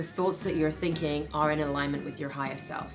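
A woman with a British accent, clear music in the background. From Britain. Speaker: actress, host, voice over artist, speaker. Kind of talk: inspirational talk. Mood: warm, calm, uplifting. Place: studio.

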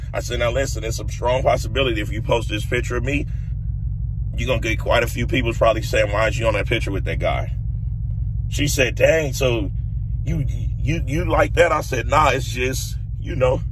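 The man moves along at a fairly quick pace. The sound is dry with no echo, though noticeable background noise is present. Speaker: vlogger. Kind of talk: casual vlog chat, storytelling. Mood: relaxed, amused. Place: car.

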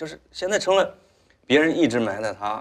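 A man talks at a fairly quick pace. He has a fairly high pitch for a man. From rural China. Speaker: talk show guest. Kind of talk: casual chat. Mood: relaxed, reflective. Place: studio.

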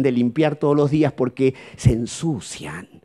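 With a Rioplatense accent, a man speaks at a very slow pace and a fairly high pitch, his tone dark and mellow over a quiet background. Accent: Argentine Rioplatense Spanish. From Argentina. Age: middle-aged. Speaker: psychologist; speaker. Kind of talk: seminar talk. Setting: auditorium with live audience. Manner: animated. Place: hall. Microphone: handheld.

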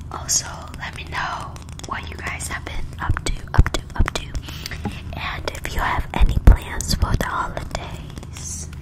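Against loud background noise, a woman speaks at a fairly slow pace with long, frequent pauses. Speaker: ASMR creator. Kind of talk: soft casual ASMR chat. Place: empty room. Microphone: studio mic.

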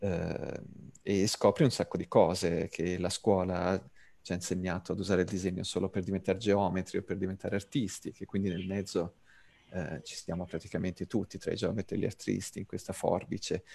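A man's very deep, low voice with a dark, mellow tone, fairly even intonation and a fairly quick pace. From Tuscany (Pisa), Italy. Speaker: designer and author. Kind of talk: online talk / presentation. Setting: video call (virtual classroom).

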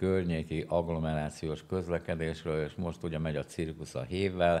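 With a very deep, low pitch and a dark, mellow tone, a man speaks in monotone, flat intonation. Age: 70s. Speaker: podcast host. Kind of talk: casual discussion; political discussion chat. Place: studio. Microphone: studio mic.

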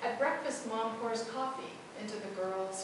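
Strong room echo and noticeable background noise surround the voice. A woman speaks at a fairly slow pace. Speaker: poet. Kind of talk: poetry reading, performed poem. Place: hall.

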